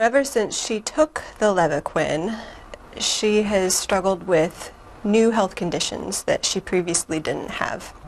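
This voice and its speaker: A woman at medium pitch and a fairly slow pace, with ordinary pitch variation and noticeable background noise. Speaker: physician. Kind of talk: interview answer.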